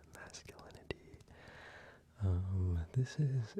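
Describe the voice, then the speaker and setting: Soft-spoken man with ordinary pitch variation. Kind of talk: ASMR soft-spoken ramble. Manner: soft-spoken, rambling, casual.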